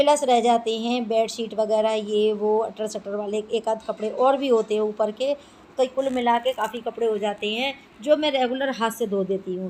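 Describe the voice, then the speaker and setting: At a moderate pace, a woman speaks in a fairly high pitch over noticeable background noise. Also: fairly even intonation. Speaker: homemaker vlogger. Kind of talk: casual vlog narration. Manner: chatty.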